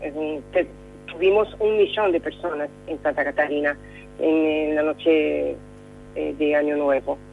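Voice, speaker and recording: A woman speaks with a Brazilian accent at a fairly slow pace. Music plays in the background. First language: Portuguese (speaking Spanish). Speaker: correspondent. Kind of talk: radio interview. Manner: halting, many fillers.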